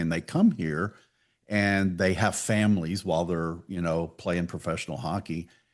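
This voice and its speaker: With a Texan accent and a very deep, low pitch, a man speaks at a moderate pace with fairly even intonation against a quiet background. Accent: Texan American. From Texas, Pasadena. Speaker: podcast host. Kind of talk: casual interview chat.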